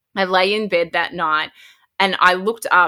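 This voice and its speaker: A woman with an Australian accent speaks at a moderate pace. Her fairly low voice has a bright, sharp tone. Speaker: podcast host. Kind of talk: casual interview chat.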